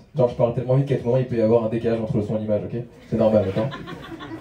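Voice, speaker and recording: A man at a very fast pace, with noticeable background noise. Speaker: stand-up comedian. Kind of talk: stand-up. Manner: mumbling, poor articulation.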